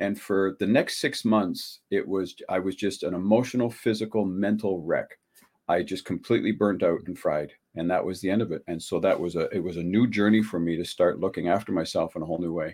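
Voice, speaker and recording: In an unremarkable speaking voice, a man speaks fairly quickly at a fairly low pitch with ordinary pitch variation. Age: 60s. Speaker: relationship coach. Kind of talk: interview. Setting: video call.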